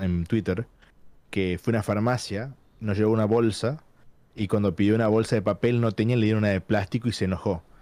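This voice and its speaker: In a Tucumán accent, a man with a dark, mellow tone speaks with fairly even intonation, in a very clean recording with a silent background. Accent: Argentine Spanish (Tucumán). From Argentina, Tucumán. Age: 30s. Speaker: gaming industry professional. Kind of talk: casual interview chat. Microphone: good microphone setup.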